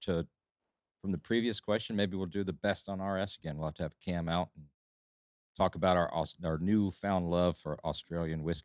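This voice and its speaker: Over a quiet background, a man with a very deep, low pitch talks at a fairly quick pace with fairly even intonation, the sound dry and close with no echo. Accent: Southern US. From Alabama. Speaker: podcast host. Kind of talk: casual chat.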